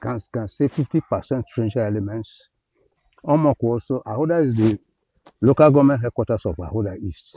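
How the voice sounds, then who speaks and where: A man speaks at a medium pitch in a dark, mellow, somewhat breathy tone. His intonation is lively, and the sound is dry and close with no echo. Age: 80s+. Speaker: environmental activist. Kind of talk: interview.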